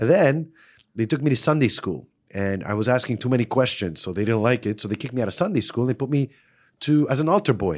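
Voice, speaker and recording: Talking at a very fast pace with lively intonation, a man holds a medium pitch on a very clean recording with a silent background. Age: 40s. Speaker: personal trainer and self-defense expert. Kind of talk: casual chat. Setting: studio. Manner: animated.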